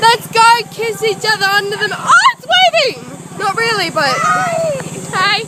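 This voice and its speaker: A woman at a fairly slow pace, with big swings in loudness and noticeable background noise. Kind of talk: casual excited chatter while filming. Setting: outdoors.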